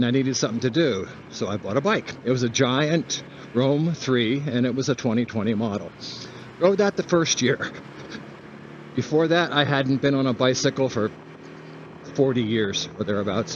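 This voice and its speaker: Amid noticeable background noise, a man of medium pitch talks at a moderate pace with ordinary pitch variation and long, frequent pauses. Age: 70s. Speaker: motovlogger. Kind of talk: casual monologue while riding. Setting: outdoors riding a scooter.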